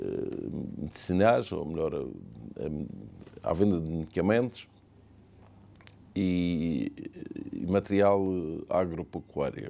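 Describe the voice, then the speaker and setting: A man's very deep, low voice with vocal fry and a dark, mellow tone, at a very slow pace. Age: 70s. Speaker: business owner. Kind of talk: interview testimony.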